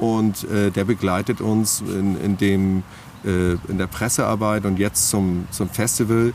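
This man speaks at a very slow pace in a fairly low pitch, with monotone, flat intonation. His loudness stays very even, and there is noticeable background noise. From Hamburg, northern Germany. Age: 50s. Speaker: festival organizer. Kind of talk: interview. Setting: outdoors in a park. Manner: halting, many filler words.

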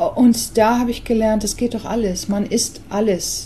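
A woman in an English accent, at a fairly slow pace, with monotone, flat intonation. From England. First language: English (speaking German). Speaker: artist and songwriter. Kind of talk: interview.

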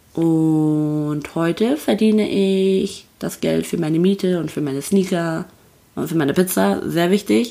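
Speaking at a very slow pace, a woman has a fairly low, dark, mellow voice. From North Rhine-Westphalia, Paderborn. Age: 20s. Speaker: podcast co-host, influencer relations manager. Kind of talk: casual chat. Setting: on a sofa in her Berlin flat.

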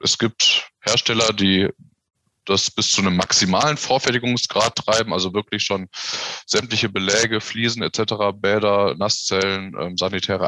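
In a dry, close sound with no echo, a man speaks at a fairly low pitch with a bright, sharp tone, fairly even intonation and very even loudness. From Lower Rhine region, western Germany. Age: 40s. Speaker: civil engineer. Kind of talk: interview.

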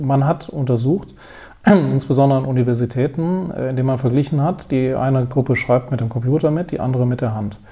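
Fairly quick in pace, a man speaks at a medium pitch with ordinary pitch variation. His voice is somewhat breathy. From Wiesbaden, Hesse, Germany. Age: 50s. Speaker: business owner and education philanthropist. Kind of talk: interview.

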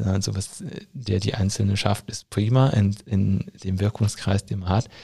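A man's fairly low, somewhat breathy voice with a dark, mellow tone, at a moderate pace. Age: 30s. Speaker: teacher working in education ministry. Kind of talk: interview. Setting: studio, in person.

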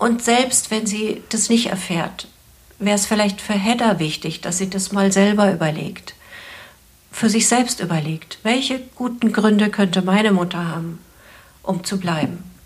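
Over noticeable background noise, a woman speaks at a fairly slow pace, her pitch medium with ordinary variation. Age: 60s. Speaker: couples therapist and psychologist. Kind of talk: advice podcast conversation.

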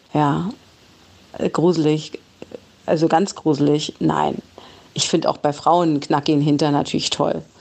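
Over noticeable background noise, a woman with a very deep, low pitch speaks at a fairly slow pace with long, frequent pauses, very even loudness and monotone, flat intonation. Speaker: podcast co-host. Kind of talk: casual chat. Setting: recorded voice message.

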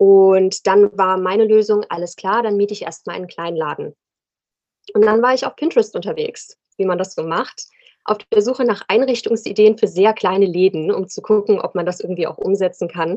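A woman with a normal speaking voice, medium pitch and ordinary pitch variation. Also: moderate pace. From Rhein-Main area, Germany. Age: 30s. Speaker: fashion entrepreneur. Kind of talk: casual interview.

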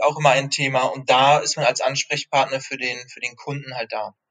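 This man speaks at a fairly quick pace, his pitch fairly high. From Rostock, northern Germany. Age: 30s. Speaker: junior sales manager. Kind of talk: interview. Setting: remote call. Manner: hesitant, many fillers.

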